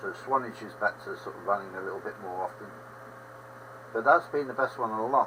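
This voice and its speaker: A man with an English accent at a medium pitch, very fast but with long, frequent pauses, big swings in loudness, ordinary pitch variation and noticeable background noise. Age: 70s. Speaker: livestream host, railway modeller. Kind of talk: casual chat. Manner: rambling conversational.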